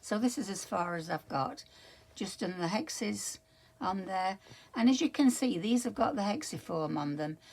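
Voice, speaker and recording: A woman speaks at a moderate pace with a medium pitch. Her voice is somewhat breathy, and her pitch swings very widely. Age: 80s+. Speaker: crafter vlogger. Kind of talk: casual show-and-tell vlog. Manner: halting, many fillers.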